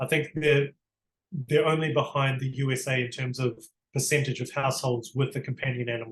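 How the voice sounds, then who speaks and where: The voice is somewhat breathy, with a New Zealand accent. Its intonation stays monotone and flat. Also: man, medium pitch for a man, fairly quick pace. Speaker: barrister. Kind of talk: interview.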